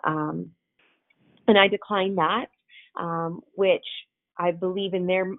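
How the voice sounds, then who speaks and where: An ordinary speaking voice from a woman, fairly low in pitch, with fairly even intonation. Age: 30s. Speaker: cancer patient sharing her experience. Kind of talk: personal testimony.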